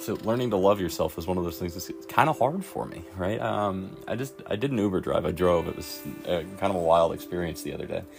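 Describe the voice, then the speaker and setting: Over music in the background, a man with a very deep, low pitch talks at a fairly quick pace with lively intonation. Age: 30s. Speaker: recovery vlogger. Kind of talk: personal reflection monologue. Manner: halting, many fillers.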